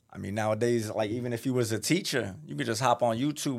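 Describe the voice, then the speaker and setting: Speaking with a New York accent at a fairly quick pace, the voice keeps a fairly even intonation in a very clean recording with a silent background. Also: man. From Brooklyn, New York. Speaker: rapper. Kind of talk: casual interview. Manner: high-energy.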